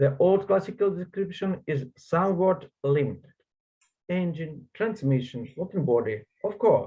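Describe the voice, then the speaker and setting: A man with a Russian accent speaks at a high pitch. His pace is fairly slow and his intonation lively. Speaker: conference presenter. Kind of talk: reading aloud. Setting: online conference. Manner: halting.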